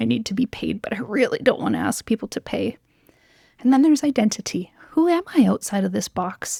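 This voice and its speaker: Someone speaks at a fairly quick pace with a dry, close sound with no echo. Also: woman. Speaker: occupational therapist business coach. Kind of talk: encouraging spoken letter. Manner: gentle, empathetic.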